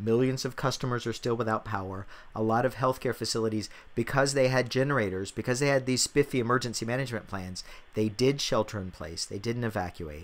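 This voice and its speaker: A man speaks at a very fast pace in a medium pitch. His pitch variation is ordinary. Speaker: podcast host. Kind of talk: casual chat.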